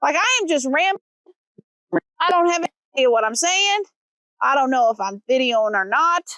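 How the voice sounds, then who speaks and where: A woman's high-pitched voice with an American accent, moderate pace, and a dry, close sound with no echo. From Missouri. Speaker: travel vlogger. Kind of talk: casual vlog narration. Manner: halting.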